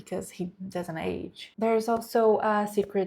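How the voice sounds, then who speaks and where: A woman with a Brazilian Portuguese accent speaks in a dark, mellow tone. Her intonation is fairly even, and the recording is very clean with a silent background. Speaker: book content creator. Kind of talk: book review vlog. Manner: hesitant, with fillers.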